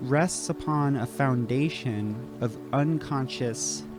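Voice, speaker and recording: The voice swings very widely in pitch while music plays in the background. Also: man. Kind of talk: educational lecture to camera. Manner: hesitant, halting.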